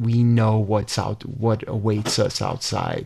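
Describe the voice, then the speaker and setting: A man with a Chicago accent talks at a very slow pace. His fairly low voice stays monotone and flat. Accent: Chicago American English. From US Midwest, Chicago. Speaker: hotel founder and heritage preservationist. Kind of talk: interview. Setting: studio.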